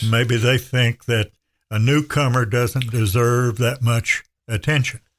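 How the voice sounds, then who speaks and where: This man has a somewhat breathy, medium-pitched voice with an American accent. His loudness is very even, his intonation fairly even, and the sound is dry and close with no echo. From Western North Carolina. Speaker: radio broadcaster. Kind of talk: podcast conversation.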